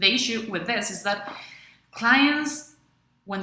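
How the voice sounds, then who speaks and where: In a Venezuelan accent, a woman speaks at a moderate pace with an enthusiastic tone. Room echo is audible. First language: Spanish. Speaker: freelancer and video blogger. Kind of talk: tutorial. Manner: some hesitations.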